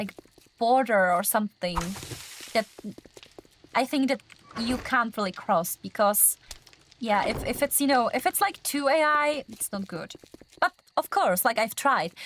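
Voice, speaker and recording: Her fairly high-pitched voice has lively intonation, and the woman is heard in a dry, close sound with no echo. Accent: non-native. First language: not English. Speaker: gaming livestreamer. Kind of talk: casual live gaming stream chat. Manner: hesitant, many fillers.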